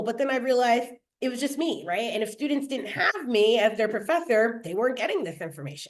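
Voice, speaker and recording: With lively intonation, a woman talks at a fairly quick pace in audible room echo. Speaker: early childhood educator and nonprofit director. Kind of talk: webinar presentation. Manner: fast.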